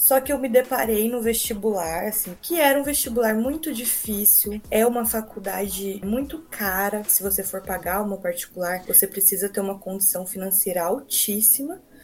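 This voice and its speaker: Barely pausing, a woman with an unremarkable speaking voice talks at medium pitch and a moderate pace, her pitch varying in an ordinary way. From Brazil, São Paulo state (Americana). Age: 20s. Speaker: nurse. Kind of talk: casual interview.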